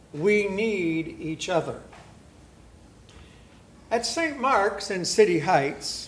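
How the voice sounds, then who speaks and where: A man speaks in a high pitch at a very slow pace, with very wide pitch swings. Noticeable background noise can be heard. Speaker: guest preacher. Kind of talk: church sermon.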